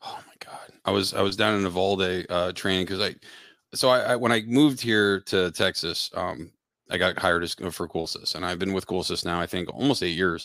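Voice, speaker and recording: At a fairly quick pace, a man with an American accent and a bright, sharp tone speaks at a very deep, low pitch with ordinary pitch variation in a very clean recording with a silent background. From Pennsylvania. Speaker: refrigeration technician and trainer. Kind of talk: casual interview chat.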